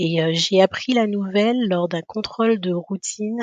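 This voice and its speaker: A woman's medium-pitched voice at a fairly slow pace, with ordinary pitch variation and a dry, close sound with no echo. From Guadeloupe. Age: 30s. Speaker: podcast guest, mother. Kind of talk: interview testimony. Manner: halting, many hesitations.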